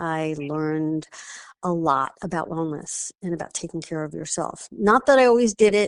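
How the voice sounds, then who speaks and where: Her voice is an ordinary speaking voice, fairly low for a woman, with ordinary pitch variation. She talks at a moderate pace against a quiet background. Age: 60s. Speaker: wellness practitioner. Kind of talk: interview. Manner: casual, with fillers.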